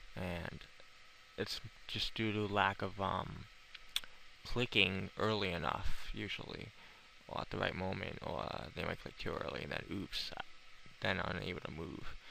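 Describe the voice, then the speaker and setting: The man's pitch is very deep and low, marked by vocal fry and a bright, sharp tone. His intonation is fairly even, broken by long, frequent pauses. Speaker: video game player. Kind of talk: game tutorial commentary. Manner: hesitant, many filler words.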